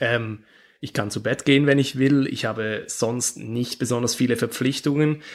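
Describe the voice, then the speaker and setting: A man's medium-pitched voice at a moderate pace with fairly even intonation. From Switzerland. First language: Swiss German (speaking German). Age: 20s. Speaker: handball player. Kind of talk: interview. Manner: halting.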